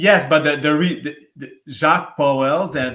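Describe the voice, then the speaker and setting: This voice has a Quebec accent. The pace is moderate. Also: man. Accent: French Canadian accent in English. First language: French. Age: 40s. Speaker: aircraft maintenance worker, debate guest. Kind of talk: casual debate discussion. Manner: halting, many false starts and repetitions.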